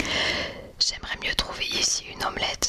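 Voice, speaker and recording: Against noticeable background noise, a woman is whispering. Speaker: ASMR creator. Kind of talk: literary audiobook-style reading of a classic novel. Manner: whispered.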